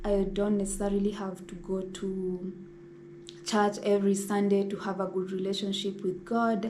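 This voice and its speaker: Audible room echo on a woman's voice, medium in pitch and moderate in pace. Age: 20s. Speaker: lifestyle vlogger. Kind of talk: casual sit-down talk.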